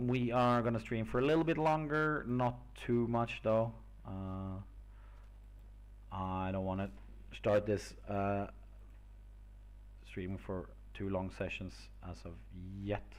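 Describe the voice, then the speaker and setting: A man with a non-native accent speaks at a very slow pace and a fairly low pitch, leaving long, frequent pauses. His intonation is lively, and room echo is audible. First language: not English. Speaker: streamer making homebrew game monsters. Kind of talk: casual live stream thinking aloud. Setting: live stream. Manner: hesitant, many filler words.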